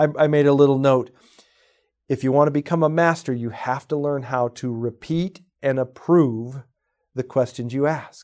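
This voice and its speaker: Speaking in a normal speaking voice, a man with fairly high pitch keeps his intonation fairly even at a moderate pace, recorded very cleanly against a silent background. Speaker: real estate sales trainer. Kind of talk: training podcast talk.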